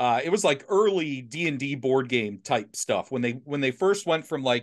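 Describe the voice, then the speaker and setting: Against a quiet background, a man with an ordinary speaking voice talks at medium pitch and a moderate pace with lively intonation. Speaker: podcast host. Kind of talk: casual chat.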